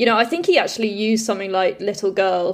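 A woman speaks with an RP accent on a very clean recording with a silent background. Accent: Queen's English, received pronunciation. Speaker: luthier. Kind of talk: casual interview chat.

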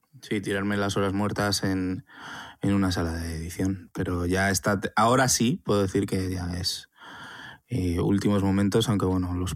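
A man's plain, everyday voice, fairly low in pitch, at a moderate pace with fairly even intonation. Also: very clean recording, silent background. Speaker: podcast co-host, documentary filmmaker. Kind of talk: casual chat.

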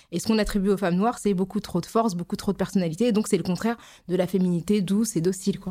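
A woman talks at a very fast pace with a dark, mellow tone. Her pitch is medium and her intonation fairly even. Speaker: journalist and anti-racism activist. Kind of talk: casual chat.

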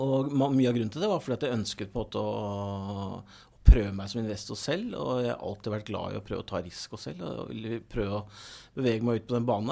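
A man's medium-pitched voice with a dark, mellow tone, ordinary pitch variation and a fairly quick pace, on a very clean recording with a silent background. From Norway, Oslo. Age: 40s. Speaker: investment economist, former stockbroker. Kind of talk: interview.

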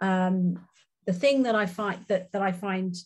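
With a Welsh accent, a woman speaks at medium pitch and a moderate pace in a somewhat breathy voice, against a quiet background. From Wales. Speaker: company board director. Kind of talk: interview.

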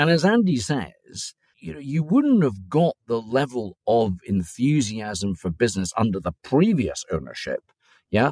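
A man's medium-pitched voice with very wide pitch swings and an Aberdeen accent, dry and close with no echo, on a very clean recording with a silent background. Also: fairly slow pace. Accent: Scottish (Aberdeen). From Aberdeen, Scotland. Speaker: lobbying firm founder. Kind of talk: casual chat.

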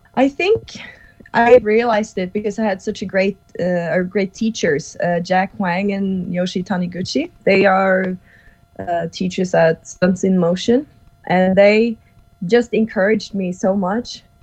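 In a Norwegian accent, a somewhat breathy woman of medium pitch talks at a fairly slow pace with fairly even intonation. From Norway. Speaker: actress and stuntwoman. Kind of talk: casual interview chat. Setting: video call from Norway.

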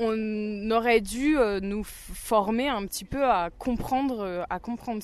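Her fairly high pitch shows ordinary pitch variation as the woman speaks. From Burgundy, France. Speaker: new teacher. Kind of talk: interview.

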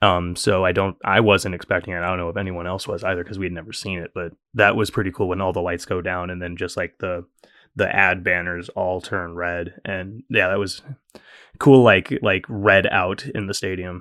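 The speaker talks at a moderate pace. Their intonation stays fairly even. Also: man, very deep, low pitch for a man. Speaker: podcast producer. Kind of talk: casual chat. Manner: jokey.

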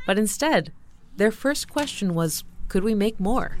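A woman with an unremarkable speaking voice talks at a moderate pace. Her intonation is lively. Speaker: podcast producer. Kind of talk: scripted narration.

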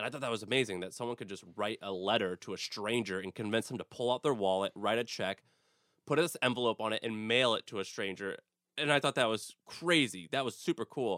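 Energetic and enthusiastic, a man with an American accent speaks at a fairly quick pace in a bright, sharp tone of medium pitch, on a very clean recording with a silent background. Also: ordinary pitch variation. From St. Louis, Missouri (US Midwest). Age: 20s. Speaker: entrepreneur, media company founder. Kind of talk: interview. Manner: energetic, enthusiastic.

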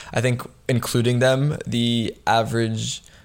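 The speaker is a man with a plain, everyday voice. His pitch sits in the middle range and varies an ordinary amount. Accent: American. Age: 20s. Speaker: entrepreneur. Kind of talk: casual interview.

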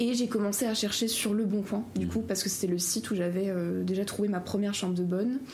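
Over noticeable background noise and audible room echo, a woman talks very fast with very even loudness and fairly even intonation. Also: medium pitch for a woman, hardly any pauses. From Alsace-Lorraine, France. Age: young. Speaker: law and history student. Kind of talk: interview.

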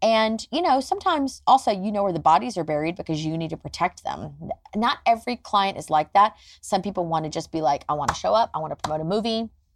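With an American accent, a woman at medium pitch talks at a very fast pace with lively intonation, in a dry, close sound with no echo. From US South, Nashville, Tennessee. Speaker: celebrity publicist. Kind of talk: interview.

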